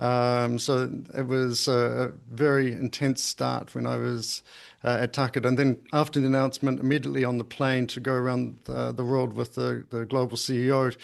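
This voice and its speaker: With a New Zealand accent, a man talks at a moderate pace and a medium pitch, barely pausing. His intonation stays flat and monotone. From Invercargill, New Zealand. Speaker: pharmaceutical company CEO. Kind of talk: podcast interview answer.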